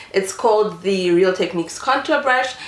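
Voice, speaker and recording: A woman speaks at a medium pitch with ordinary pitch variation. Audible room echo and noticeable background noise fill the recording. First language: not English. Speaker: beauty vlogger. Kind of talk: makeup tutorial. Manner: casual, many filler ums.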